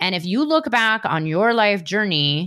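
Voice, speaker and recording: In a very clean recording with a silent background, a woman with a normal speaking voice and medium pitch speaks fairly slowly, with lively intonation. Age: 40s. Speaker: spiritual business coach and podcast host. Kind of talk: solo podcast monologue.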